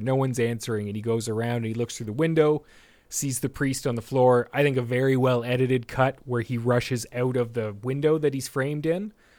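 In a very clean recording with a silent background, a man with an ordinary speaking voice talks at a fairly quick pace, his medium pitch showing ordinary pitch variation. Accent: Canadian. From Canada. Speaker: podcast host. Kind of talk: casual chat; scene description.

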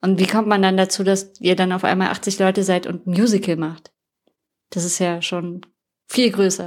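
A woman at medium pitch, moderate pace, monotone and flat in intonation. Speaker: podcast host. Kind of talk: casual interview chat. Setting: youth centre, children in background.

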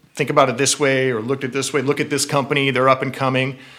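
There is noticeable background noise as a man with an American accent speaks at a medium pitch. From Southern California (San Gabriel Valley area). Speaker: cycling apparel sales director. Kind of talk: casual interview. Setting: in person at company headquarters.

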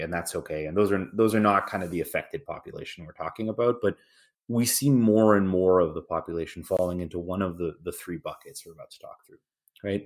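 A normal speaking voice, a man with a Canadian accent, fairly low pitch and fairly quick pace, on a very clean recording with a silent background. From Canada. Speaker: healthcare company sales executive. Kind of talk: professional interview.

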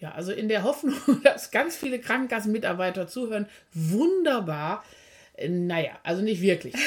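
A woman with a fairly high pitch speaks in a somewhat breathy way. Her pitch swings very widely and her loudness rises and falls sharply. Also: moderate pace, very clean recording, silent background. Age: 50s. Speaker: physiotherapist and practice owner. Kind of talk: casual podcast chat.

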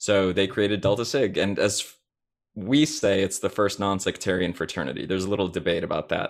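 Recorded very cleanly against a silent background, a man with a fairly low pitch talks at a fairly quick pace in an ordinary speaking voice, with ordinary pitch variation. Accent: American. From Chicago area, US Midwest. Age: 30s. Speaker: fraternity expert, nonprofit staffer. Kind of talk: casual interview.

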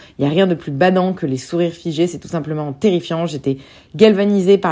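A woman with a normal speaking voice, fairly low pitch, ordinary pitch variation and a fairly quick pace. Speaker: film podcast host. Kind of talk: solo podcast film reviews.

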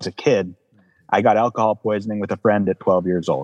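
Recorded dry and close with no echo and a quiet background, a man talks at a very fast pace. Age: 30s. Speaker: counseling client. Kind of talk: emotional personal testimony.

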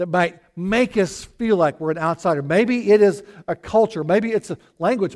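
A man in a Southern US accent, high-pitched and fairly slow. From Arkansas (US South). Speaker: pastor. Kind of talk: sermon.

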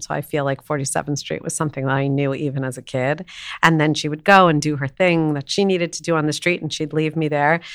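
A woman with a very deep, low pitch talks fairly quickly with fairly even intonation on a very clean recording with a silent background. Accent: American. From New York City. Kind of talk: casual chat.

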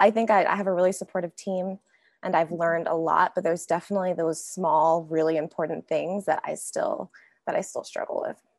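An unremarkable speaking voice from a woman with an American accent, medium pitch, fairly even intonation and moderate pace, dry and close with no echo over a quiet background. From North Carolina. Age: 20s. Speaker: project manager. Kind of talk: interview.

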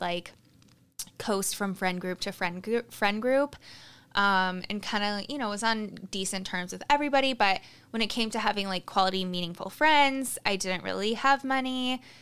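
In a very clean recording with a silent background, a woman talks at a moderate pace and medium pitch with ordinary pitch variation. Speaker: podcast host and life coach. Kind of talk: casual monologue. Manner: animated, expressive; loud, projecting.

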